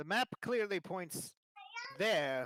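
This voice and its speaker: The speaker is a man doing a put-on character voice. It sits at a high pitch. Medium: actual play. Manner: dry, sardonic.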